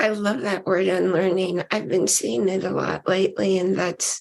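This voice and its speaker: Vocal fry colors this woman's speech. Her pitch sits at a medium level. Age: 70s. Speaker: talk show host. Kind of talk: casual chat.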